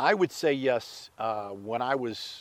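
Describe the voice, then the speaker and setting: An American accent marks this speaker. The voice belongs to a man. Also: very clean recording, silent background. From Pittsburgh, Pennsylvania. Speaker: sportscaster. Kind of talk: casual interview.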